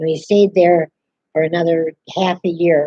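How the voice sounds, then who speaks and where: The voice has a dark, mellow tone and an American accent, moving at a fairly slow pace in a dry, close sound with no echo. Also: woman. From Upper Midwest (Minnesota, Wisconsin, Michigan). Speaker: elderly local resident sharing memories. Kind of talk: oral history interview.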